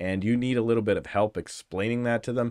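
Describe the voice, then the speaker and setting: A man's voice is heard over a quiet background. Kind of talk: casual educational vlog chat. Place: home room. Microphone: studio mic.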